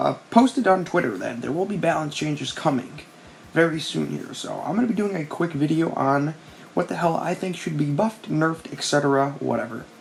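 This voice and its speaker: The voice is quiet and moves at a fairly quick pace. Noticeable background noise runs underneath. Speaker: gaming youtuber. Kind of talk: casual commentary video. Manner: quiet, late at night; fast.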